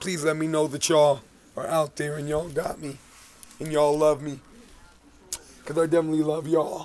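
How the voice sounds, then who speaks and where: Here a man delivers his words at a fairly quick pace. The intonation stays monotone and flat. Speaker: street artist and musician vlogger; musician vlogger. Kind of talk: video diary. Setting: outdoors. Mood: earnest, heartfelt. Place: street. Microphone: phone near.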